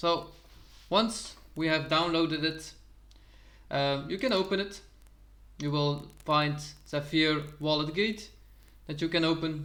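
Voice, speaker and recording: A man with a Dutch accent, a bright, sharp tone, fairly high pitch and fairly even intonation, at a fairly slow pace with long, frequent pauses and audible room echo. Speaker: crypto YouTuber. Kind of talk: tutorial.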